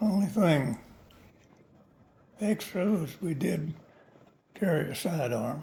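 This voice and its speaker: With a dark, mellow tone yet a high pitch, a man speaks at a very slow pace with lively intonation and long, frequent pauses. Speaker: WWII veteran pilot. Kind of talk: interview answer. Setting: home recording, background noise.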